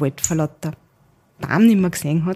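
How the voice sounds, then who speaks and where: Her tone dark and mellow, a woman talks at a fairly quick pace in a fairly low pitch. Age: 30s. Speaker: managing director. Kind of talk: interview.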